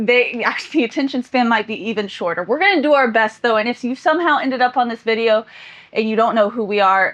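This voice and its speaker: Over noticeable background noise, a woman talks at a very fast pace, her fairly high pitch showing ordinary variation. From Florida, near Tallahassee. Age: 30s. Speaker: YouTuber. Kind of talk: casual chat.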